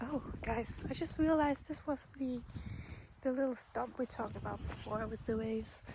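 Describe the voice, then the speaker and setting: A soft-spoken woman's high voice, relaxed in tone, fairly slow in pace, with ordinary pitch variation. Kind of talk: ASMR nature walk, soft-spoken rambling to camera. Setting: outdoors in a forest. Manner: soft-spoken, relaxed.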